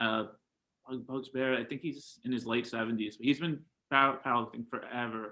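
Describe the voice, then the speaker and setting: Fairly quick and fairly even in intonation, the speech carries a strong New York accent. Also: man, medium pitch for a man. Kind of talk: casual interview chat.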